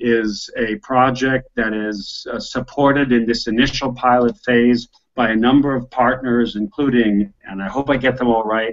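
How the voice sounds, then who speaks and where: A man's medium-pitched voice moves with fairly even intonation. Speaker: host of business video chat. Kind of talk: online video conversation. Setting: video call. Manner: fast.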